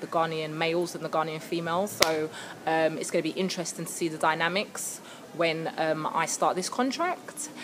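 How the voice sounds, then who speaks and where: Against noticeable background noise, a woman with a British accent speaks at a fairly low pitch and a moderate pace. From England, London. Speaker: vlogger. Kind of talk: casual vlog to camera. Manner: animated.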